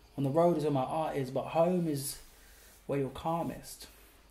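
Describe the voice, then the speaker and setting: At a moderate pace, a man speaks somewhat breathily in a dark, mellow tone. His pitch is fairly high, and his intonation fairly even. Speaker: poet and actor. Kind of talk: spoken word poetry performance. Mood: relaxed, playful, humorous. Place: home room.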